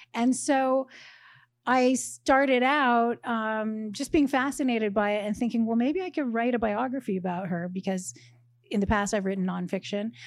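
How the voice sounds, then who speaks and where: On a very clean recording with a silent background, a woman with an ordinary speaking voice talks at a moderate pace and fairly high pitch, with ordinary pitch variation. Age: 50s. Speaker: novelist. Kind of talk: interview. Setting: bookstore stage with live audience.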